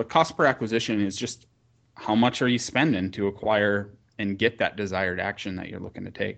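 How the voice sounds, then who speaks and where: This is a normal speaking voice with an American accent at a fairly quick pace. Pitch variation is ordinary, and the background is quiet. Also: man. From US Upper Midwest, rural North Dakota. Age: 30s. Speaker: marketing company founder. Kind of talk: podcast interview.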